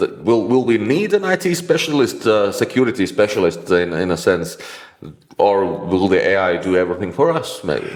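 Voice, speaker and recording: A man speaks at a moderate pace with a Latvian accent, his pitch fairly low. His voice swings very widely in pitch over noticeable background noise. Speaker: IT consultant and interviewer. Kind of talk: interview. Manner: halting.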